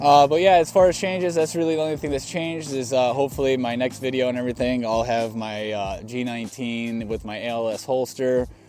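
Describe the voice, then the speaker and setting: Words come out at a very fast pace from a man. Noticeable background noise accompanies him. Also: medium pitch for a man, ordinary pitch variation, hardly any pauses. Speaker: firearms training youtuber. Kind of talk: casual video talk to camera. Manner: casual, filler-heavy.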